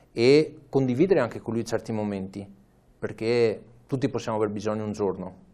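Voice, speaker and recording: A man speaks fairly quickly in an ordinary speaking voice with a fairly low pitch. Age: 30s. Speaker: amateur cyclist and charity fundraiser. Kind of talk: interview. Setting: studio.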